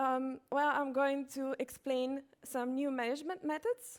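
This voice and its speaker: Speaking at a fairly slow pace, a woman with a high pitch talks in a non-native accent. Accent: foreign. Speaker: conference speaker, software company manager. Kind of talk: conference talk. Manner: hesitant, many fillers.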